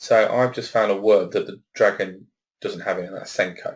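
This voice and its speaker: A man with a Leicester accent, at a fairly quick pace. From Leicester, England. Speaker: webinar presenter on assistive technology. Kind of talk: webinar presentation. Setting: office on his own.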